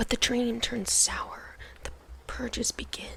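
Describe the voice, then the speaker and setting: Over noticeable background noise, a whisper unfolds at a fairly slow pace. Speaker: ASMR creator. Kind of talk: reading a book blurb aloud. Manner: soft-spoken.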